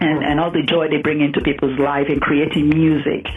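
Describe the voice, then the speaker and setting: Music plays in the background. Over it, a woman speaks with a very deep, low pitch. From Nigeria. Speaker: entrepreneur. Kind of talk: radio interview.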